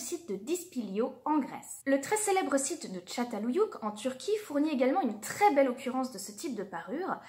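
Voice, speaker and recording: Speaking fairly quickly, a woman uses a high voice with very wide pitch swings. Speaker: archaeology video creator. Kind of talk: educational narration. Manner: formal.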